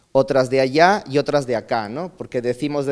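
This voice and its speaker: His pace is fairly quick. The man's pitch sits at a medium level. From Peru (north, then Lima), teens in Chile. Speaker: speaker at a migration conference. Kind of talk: conference talk, personal testimony. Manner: halting, with many fillers.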